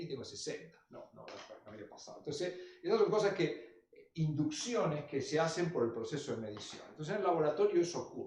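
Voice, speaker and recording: Audible room echo surrounds a man who speaks at a fairly quick pace with very wide pitch swings. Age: 60s. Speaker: lecturer. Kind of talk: lecture.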